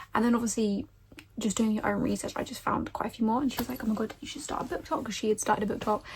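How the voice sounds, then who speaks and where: Over noticeable background noise, a woman with an English accent talks at a very fast pace in a fairly high voice with fairly even intonation. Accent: common English. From England. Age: 20s. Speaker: book vlogger. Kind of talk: casual chat.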